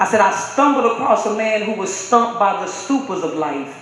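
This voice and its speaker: Noticeable background noise behind speech at a moderate pace. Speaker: spoken word poet. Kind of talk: spoken word performance.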